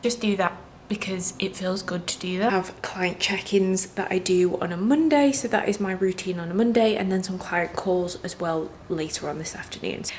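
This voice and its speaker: With a British accent, the speaker goes at a moderate pace with hardly any pauses and ordinary pitch variation, over noticeable background noise. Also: woman, medium pitch for a woman. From England. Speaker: vlogger and food habit coach. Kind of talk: casual vlog talk.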